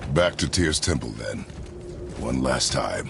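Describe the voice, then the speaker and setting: A man speaks in a put-on character voice at a fairly slow pace over loud background music. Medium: video game. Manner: terse, measured, stern.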